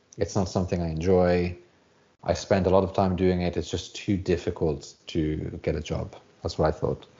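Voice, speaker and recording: A man with a British accent speaks at a moderate pace in a very deep, low voice with monotone, flat intonation. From UK. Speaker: software developer, former English teacher. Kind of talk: casual interview.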